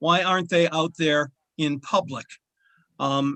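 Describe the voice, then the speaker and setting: Dry and close with no echo, a man's bright, sharp voice moves at a fairly slow pace over a quiet background. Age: 70s. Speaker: state legislator. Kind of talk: committee hearing remarks.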